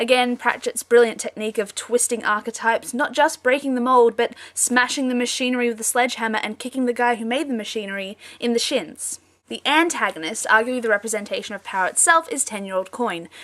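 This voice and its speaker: Her pitch high and her variation ordinary, a woman talks at a very fast pace. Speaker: book reviewer. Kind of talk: casual talk to camera.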